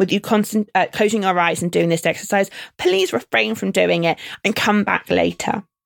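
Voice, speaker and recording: Dry and close with no echo, a very clean recording with a silent background captures a woman speaking at medium pitch with vocal fry. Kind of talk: guided meditation.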